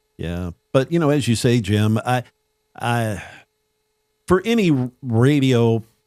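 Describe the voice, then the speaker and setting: A man with an American accent talks at a very slow pace, using long, frequent pauses. His intonation is lively. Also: medium pitch for a man, very clean recording, silent background. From US South, New Orleans. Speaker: radio broadcaster. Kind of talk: casual chat. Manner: broadcaster-like delivery.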